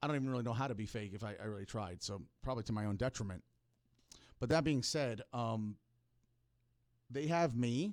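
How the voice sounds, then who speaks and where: Fairly quick speech in a New York accent, with ordinary pitch variation and long, frequent pauses, sits on a very clean recording with a silent background. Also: man, medium pitch for a man. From Florida (Hollywood, FL). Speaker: podcast host. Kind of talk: casual monologue, personal storytelling. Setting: podcast studio. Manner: halting, repeats words.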